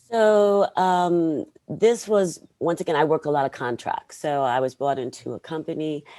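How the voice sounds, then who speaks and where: With a very deep, low pitch and a dark, mellow tone, a woman speaks in an American accent with lively intonation and hardly any pauses, in a very clean recording against a silent background. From New York. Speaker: learning and development program manager. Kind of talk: interview. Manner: fast.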